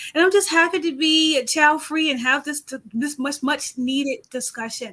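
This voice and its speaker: A woman speaks at a moderate pace in a raised, projected voice with a high pitch. Her tone is bright and sharp, and her pitch variation is ordinary. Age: 40s. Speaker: graduate student. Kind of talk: panel discussion.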